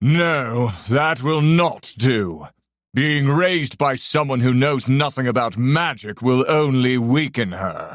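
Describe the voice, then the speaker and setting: Over a very clean recording with a silent background, a man puts on a character voice at a medium pitch, moving at a fairly slow pace. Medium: read story. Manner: commanding, booming.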